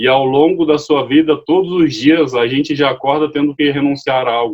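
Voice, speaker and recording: A man at a moderate pace, his pitch fairly high with ordinary variation. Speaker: lay preacher. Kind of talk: sermon. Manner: halting.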